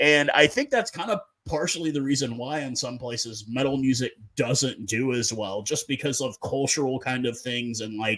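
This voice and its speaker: Moderate-paced speech from a man in a normal speaking voice, medium pitch, ordinary pitch variation. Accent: American. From North America. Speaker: podcast host. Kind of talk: casual chat.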